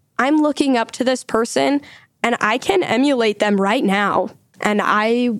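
A woman with an American accent in a normal speaking voice, fairly high in pitch, at a fairly slow pace, with lively intonation and very even loudness. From Utah. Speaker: university student. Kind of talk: podcast interview.

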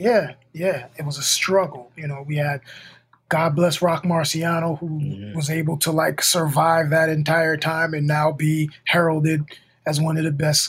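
With a plain, everyday voice, a man talks fairly high and fairly slow, his intonation fairly even. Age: 40s. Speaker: podcast co-host and rapper. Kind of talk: casual chat.

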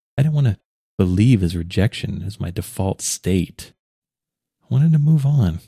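A dark, mellow, somewhat breathy voice at a moderate pace, with very wide pitch swings, long, frequent pauses and a dry, close sound with no echo. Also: man, fairly low pitch for a man. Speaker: podcast host. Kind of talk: monologue on healing and personal reflection. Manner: reflective, earnest.

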